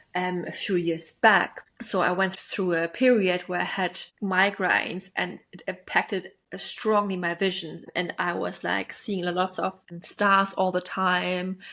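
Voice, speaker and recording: A woman with a non-native accent speaks at a fairly slow pace and medium pitch. Her intonation is monotone and flat, with hardly any pauses. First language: not English. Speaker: attachment style coach. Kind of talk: self-help podcast monologue. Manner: casual, filler-heavy.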